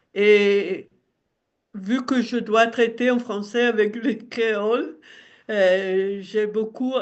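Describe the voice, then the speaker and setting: This woman, with an Italian accent, speaks at a very slow pace in a fairly high pitch with fairly even intonation. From Italian-speaking southern Switzerland. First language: Italian (speaking French). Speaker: retired teacher and website editor. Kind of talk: interview.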